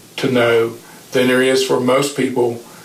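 Over noticeable background noise, a man of medium pitch talks at a fairly quick pace with an American accent. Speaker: retired football coach. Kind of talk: interview storytelling.

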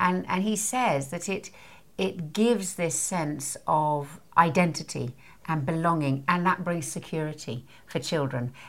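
In a Scottish accent, a woman talks at a fairly slow pace and fairly low pitch with ordinary pitch variation. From Scotland. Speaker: parenting author and course leader. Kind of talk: casual interview chat.

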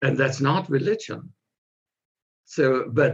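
A man with an American accent talks at a fairly high pitch and a fairly slow pace. Vocal fry runs through his voice. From US, California. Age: 70s. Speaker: pastor and author. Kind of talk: interview.

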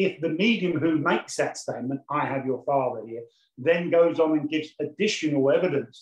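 Somewhat breathy, this man's voice sits at a fairly high pitch. He keeps a moderate pace. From West Midlands, England. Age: 60s. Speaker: medium and mediumship teacher. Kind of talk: online lecture. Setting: video call.

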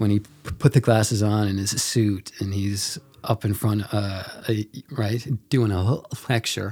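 A man's somewhat breathy voice with fairly even intonation and long, frequent pauses. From Mount Pearl, Newfoundland, Canada. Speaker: filmmaker. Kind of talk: casual chat. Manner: halting.

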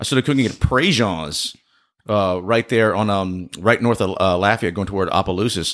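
A man speaks at a moderate pace in a very deep, low pitch. His intonation stays fairly even, with a Louisiana accent. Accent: Cajun Louisiana. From rural south Louisiana. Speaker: chef. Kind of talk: casual chat.

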